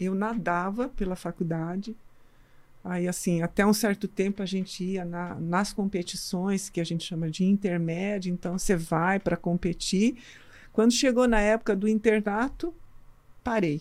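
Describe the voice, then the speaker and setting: This woman has a plain, everyday voice. Her pitch variation is ordinary. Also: medium pitch for a woman, moderate pace. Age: 60s. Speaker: pediatrician and medical school lecturer, marathon runner. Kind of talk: casual interview chat.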